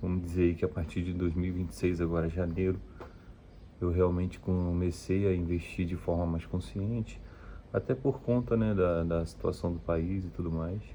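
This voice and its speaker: A man's very deep, low voice with a dark, mellow tone and ordinary pitch variation. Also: moderate pace. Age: 30s. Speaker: vlogger on personal investing. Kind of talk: personal vlog talk to camera. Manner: hesitant, many fillers.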